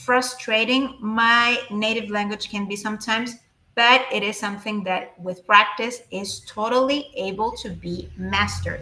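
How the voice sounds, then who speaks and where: A woman with a Spanish accent speaks at a fairly slow pace, her fairly high pitch set in fairly even intonation amid big swings in loudness. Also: hardly any pauses. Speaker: Spanish teacher. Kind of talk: live-stream language lesson. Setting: live stream. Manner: halting, many fillers.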